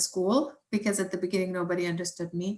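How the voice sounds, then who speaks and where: A woman at medium pitch speaks with lively intonation. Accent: German. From Germany. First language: German. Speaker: environmental scientist. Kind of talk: science talk with Q&A. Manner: hesitant, many fillers.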